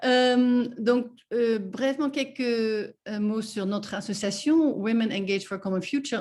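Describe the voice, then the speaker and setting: A woman with a non-native accent speaks at a fairly high pitch and a fairly slow pace, with ordinary pitch variation and a quiet background. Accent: foreign accent in French. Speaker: NGO representative, guest speaker. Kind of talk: webinar presentation. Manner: halting, many hesitations.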